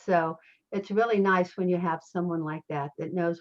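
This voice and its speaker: A woman with an American accent speaks at a fairly low pitch with fairly even intonation. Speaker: motivational speaker and business owner. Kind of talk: interview. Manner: fast.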